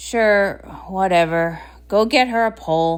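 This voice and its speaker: A woman with a medium pitch does a put-on character voice on a very clean recording with a silent background. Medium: read story. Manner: panicky, dramatic.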